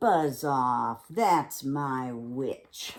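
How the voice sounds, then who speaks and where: A put-on character voice growls in a croaky, low-to-middle pitch. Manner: gruff, threatening.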